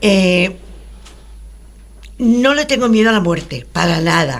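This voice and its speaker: A woman speaks at a fairly slow pace. Some room echo can be heard. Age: 80s+. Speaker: radio show participant. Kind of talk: radio talk show conversation. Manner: halting.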